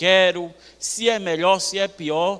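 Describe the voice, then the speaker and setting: In a Bahian accent, a man projects a raised voice with a bright, sharp, animated tone on a very clean recording with a silent background. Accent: northeastern Brazilian (Bahian). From Bahia, Brazil. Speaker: preacher. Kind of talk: sermon. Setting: church.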